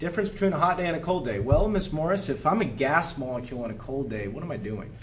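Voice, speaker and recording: Talking at a very fast pace, a man with an American accent has an animated tone, a fairly high pitch and very wide pitch swings. Audible room echo and noticeable background noise fill the recording. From Oregon, US Pacific Northwest. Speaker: high school chemistry teacher. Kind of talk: lecture. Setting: classroom.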